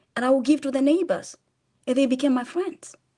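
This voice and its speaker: This speaker has a Kenyan accent. The pace is fairly quick. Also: woman. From Kenya, Machakos (eastern Kenya). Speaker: charity founder. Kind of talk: interview testimony. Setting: podcast interview.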